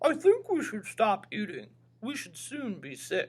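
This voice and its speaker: A man's put-on character voice, extremely high-pitched, at a fairly slow pace. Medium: read story.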